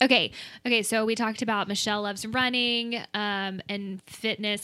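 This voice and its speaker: A woman's fairly high voice with an American accent, a bright, sharp tone and a moderate pace, in a very clean recording over a silent background. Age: 20s. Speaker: podcast host. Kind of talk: casual chat. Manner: animated.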